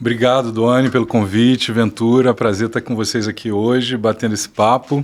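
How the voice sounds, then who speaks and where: A man at a fairly quick pace, his intonation monotone and flat. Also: medium pitch for a man, hardly any pauses. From Rio de Janeiro, Brazil. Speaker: tech entrepreneur and speaker. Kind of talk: podcast interview.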